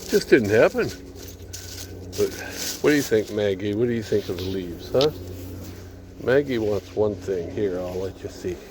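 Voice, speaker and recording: Over noticeable background noise, a man with a fairly low pitch speaks with long, frequent pauses. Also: ordinary pitch variation, moderate pace. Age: 70s. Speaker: vlogger. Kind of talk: casual vlog monologue. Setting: outdoors on a walk. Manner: conversational.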